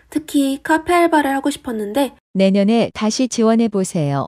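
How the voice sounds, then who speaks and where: Over a silent background in a very clean recording, a woman with a fairly high pitch and a dark, mellow tone speaks at a moderate pace with lively intonation. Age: young. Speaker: YouTuber and university student. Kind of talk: scripted vlog monologue.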